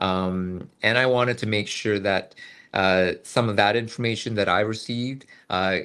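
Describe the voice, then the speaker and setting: In a Canadian accent, a man with a fairly low pitch and a bright, sharp tone speaks at a moderate pace with fairly even intonation. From Canada. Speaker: medical student. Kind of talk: webinar testimony. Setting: online webinar. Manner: halting, many fillers.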